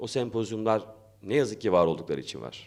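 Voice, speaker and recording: Very fast pace, vocal fry and lively intonation. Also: man. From Turkey, Erzurum. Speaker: academic and arts association founder. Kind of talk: opening speech. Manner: halting, many fillers.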